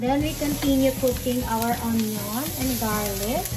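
A woman talks at a very slow pace while loud background noise plays. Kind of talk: cooking tutorial. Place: kitchen.

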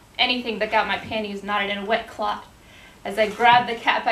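A woman's fairly quick delivery in a monotone, flat intonation, with audible room echo. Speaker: actor performing a monologue. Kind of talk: theatrical monologue. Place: stage. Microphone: camera far.

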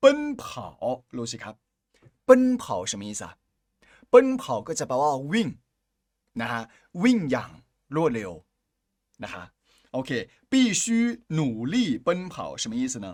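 On a very clean recording with a silent background, a man with a fairly high pitch makes very wide pitch swings and big swings in loudness. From China. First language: Chinese (speaking Thai). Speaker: Chinese language teacher. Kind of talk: language lesson.

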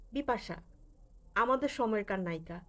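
A woman's fairly high, lively voice, an ordinary speaking voice. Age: 40s. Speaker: vlogger. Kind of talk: casual vlog monologue.

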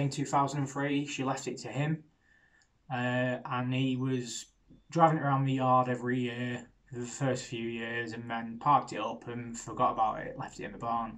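A man's monotone, flat delivery at a moderate pace against a quiet background. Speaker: car hobbyist vlogger. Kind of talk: casual vlog chat. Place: garage. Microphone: phone near.

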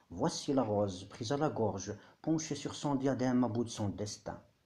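At a fairly slow pace, the speaker's tone comes across dark and mellow. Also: man. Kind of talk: poetry reading. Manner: whispered, soft.

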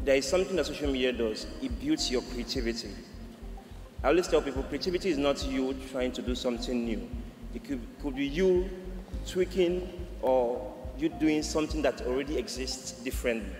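Clear music plays in the background and audible room echo surrounds a man speaking at a fairly quick pace. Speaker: guest. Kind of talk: panel answer. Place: stage. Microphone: podium.

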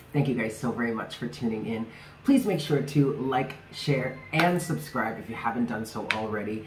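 A man's voice moves at a moderate pace, its pitch varying in an ordinary way, with noticeable noise behind it. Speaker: tarot reader, channel host. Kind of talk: casual vlog chat.

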